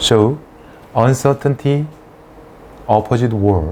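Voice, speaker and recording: This man talks at a fairly slow pace with a Korean accent. Noticeable background noise runs underneath. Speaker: dentist and lecturer. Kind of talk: lecture.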